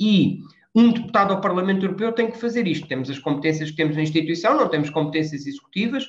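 Very fast and lively in intonation, a man's high-pitched voice carries audible room echo. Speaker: politician. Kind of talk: interview. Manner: halting.

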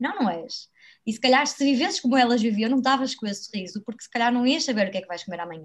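Lively intonation and a very fast pace mark this woman's talking. Her voice sits high. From Braga, northern Portugal. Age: 20s. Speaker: author and traveller. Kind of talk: interview.

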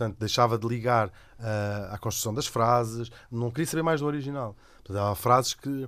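A man speaks at a medium pitch and moderate pace with ordinary pitch variation. It is an ordinary speaking voice on a very clean recording with a silent background. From Lisbon, Portugal. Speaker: radio host and cartoonist. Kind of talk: casual chat.

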